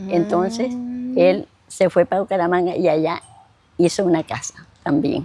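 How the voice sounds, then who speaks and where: Over music in the background, a woman with a fairly low pitch and ordinary pitch variation talks at a moderate pace, leaving long, frequent pauses. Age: 80s+. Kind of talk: interview answer.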